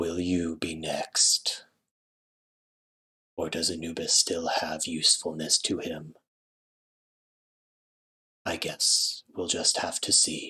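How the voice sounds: A man's booming, raspy put-on character voice with a menacing tone, at a very slow pace, with long, frequent pauses.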